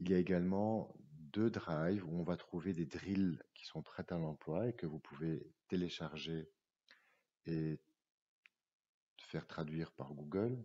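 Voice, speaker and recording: A very deep, low-pitched man at a very slow pace, with ordinary pitch variation and long, frequent pauses. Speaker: teacher trainer. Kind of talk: tutorial. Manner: hesitant, many fillers.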